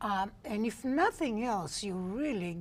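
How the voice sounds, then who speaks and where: With an Israeli accent, a woman speaks with ordinary pitch variation. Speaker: homeless day center director. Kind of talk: interview conversation.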